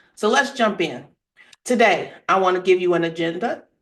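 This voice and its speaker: An animated woman's voice at a medium pitch with ordinary pitch variation, over a quiet background. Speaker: tax attorney and accountant. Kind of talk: webinar presentation. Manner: fast.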